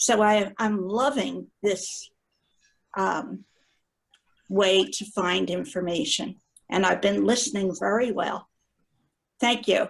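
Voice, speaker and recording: Vocal fry runs through a woman's medium-pitched voice as she talks at a very slow pace. Her pitch varies in an ordinary way, and she leaves long, frequent pauses. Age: 80s+. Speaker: retired librarian, genealogy club member. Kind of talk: group video meeting discussion. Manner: halting.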